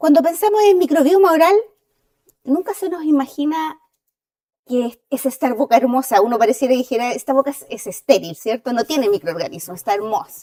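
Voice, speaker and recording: Speaking in a Chilean accent, a woman has a dark, mellow tone, a high pitch and very wide pitch swings. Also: fairly quick pace. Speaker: dentist and associate professor. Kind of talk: lecture. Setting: auditorium with audience.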